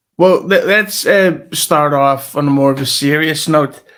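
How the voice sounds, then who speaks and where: A man with a Scottish accent, fairly high in pitch, at a fairly slow pace. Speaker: podcast co-host. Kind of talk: casual chat. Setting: home recording, different room.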